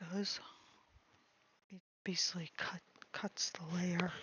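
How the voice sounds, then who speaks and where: Soft-spoken and monotone, a woman at medium pitch talks at a fairly slow pace with flat intonation. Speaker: streamer and artist. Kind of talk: casual livestream chat. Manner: halting.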